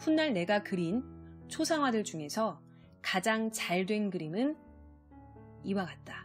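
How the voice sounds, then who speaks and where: A woman's calm, soothing tone at medium pitch, with very wide pitch swings and a very slow pace, over music in the background. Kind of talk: audiobook reading.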